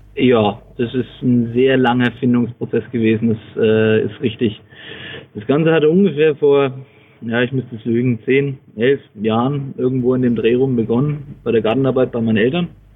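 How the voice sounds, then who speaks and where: Against noticeable background noise, a man speaks at a moderate pace with a medium pitch and fairly even intonation. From Franconia, Bavaria (Bamberg). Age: 30s. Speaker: inventor and small manufacturer. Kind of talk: interview.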